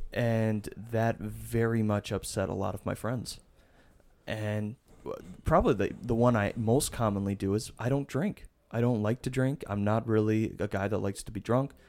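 On a very clean recording with a silent background, a man in a plain, everyday voice speaks fairly low at a moderate pace with fairly even intonation. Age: 20s. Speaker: podcast host. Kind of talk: casual chat.

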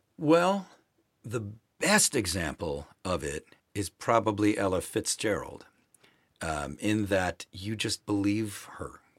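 A man with an American accent talks at a fairly low pitch. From Milwaukee, Wisconsin (US Midwest). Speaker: folk singer-songwriter. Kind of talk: interview conversation. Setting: studio.

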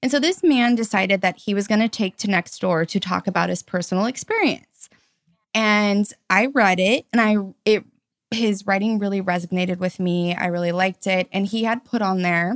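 Speaking at a fairly quick pace, a woman holds a medium pitch. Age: 30s. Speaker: podcast host. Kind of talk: casual chat. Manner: animated.

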